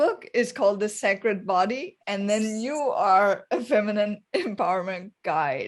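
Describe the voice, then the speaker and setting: Lively intonation from a woman with a non-native accent, fairly high in pitch and fairly slow in pace. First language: not English. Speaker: podcast host. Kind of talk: interview.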